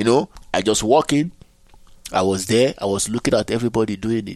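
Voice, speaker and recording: On a very clean recording with a silent background, a man with a Nigerian accent talks at a fairly quick pace with ordinary pitch variation. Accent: Nigerian (Yoruba) English. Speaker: interdisciplinary artist. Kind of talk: interview conversation.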